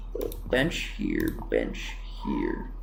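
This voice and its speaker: Mumbling at a very slow pace, a man speaks with music in the background. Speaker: gaming youtuber. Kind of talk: gameplay commentary. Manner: casual.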